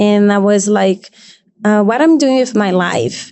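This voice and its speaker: With a non-native accent, a woman speaks at a fairly high pitch and ordinary pitch variation. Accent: foreign. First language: not English. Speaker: model and podcast guest. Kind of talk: casual chat. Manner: halting.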